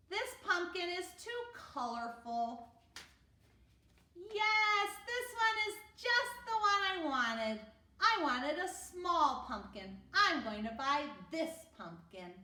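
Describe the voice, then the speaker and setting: A woman's put-on character voice, squeaky and extremely high-pitched, with very wide pitch swings, big swings in loudness, a fairly slow pace and a slight echo. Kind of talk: children's drama skit. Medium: solo performance. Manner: excited.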